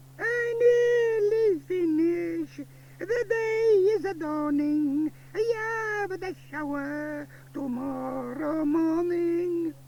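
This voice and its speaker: A man's put-on character voice with extremely high pitch at a very slow pace, over clear background noise. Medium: read story. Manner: warm, emphatic.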